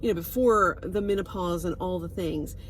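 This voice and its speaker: A woman talks with a Southern US accent. Her pitch varies in an ordinary way. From US South. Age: 60s. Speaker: wellness product seller. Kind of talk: casual vlog monologue. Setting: on a road trip. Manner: hesitant, many fillers.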